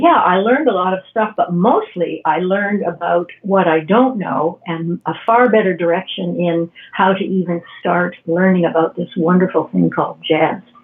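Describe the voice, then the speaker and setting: With an unremarkable speaking voice, a woman at medium pitch talks with ordinary pitch variation and hardly any pauses. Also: moderate pace. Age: 60s. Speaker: retired piano technician learning jazz. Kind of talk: podcast interview.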